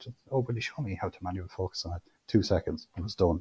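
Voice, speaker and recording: With a very deep, low pitch and a dark, mellow tone, a man talks at a fairly quick pace in a somewhat breathy voice. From Irish midlands, Co. Offaly. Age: 40s. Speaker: amateur photographer. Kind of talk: interview conversation.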